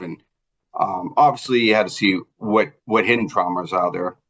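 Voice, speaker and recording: Speaking with a Boston accent, a man keeps a moderate pace at a fairly low pitch. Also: quiet background. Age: 50s. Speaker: trauma survivor. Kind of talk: interview testimony. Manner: halting, many fillers.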